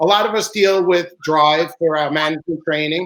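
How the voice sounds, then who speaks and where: Here a man talks in an American accent. His pitch is high. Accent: New York accent (teased by others, denies it). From Long Island, New York. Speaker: truck service shop owner. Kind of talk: casual live broadcast chat. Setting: live broadcast.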